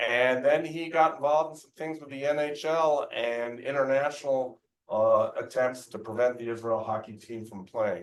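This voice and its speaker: A man with a plain, everyday voice and a fairly high pitch speaks at a moderate pace with hardly any pauses, showing ordinary pitch variation and big swings in loudness. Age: 60s. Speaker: event host. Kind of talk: speaker introduction.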